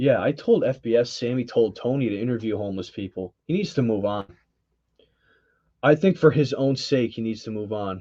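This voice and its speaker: This man's voice sits at a medium pitch with a dark, mellow tone. He talks at a fairly quick pace. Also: ordinary pitch variation. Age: 20s. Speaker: YouTube channel host. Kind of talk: live stream chat. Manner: casual, conversational.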